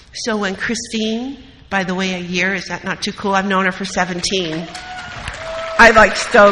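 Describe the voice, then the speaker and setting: With crowd noise behind her, a woman in an American accent speaks at medium pitch and a moderate pace, her intonation fairly even. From US Midwest, Wisconsin. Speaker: recovery meeting speaker. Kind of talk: recovery talk.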